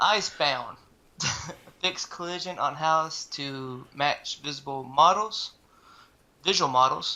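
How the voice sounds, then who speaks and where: The speech is very slow, in a Southern US accent, with long, frequent pauses. The recording is very clean, with a silent background. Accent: Southern drawl. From US South. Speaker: gaming video host, streamer. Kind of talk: casual chat, reading patch notes.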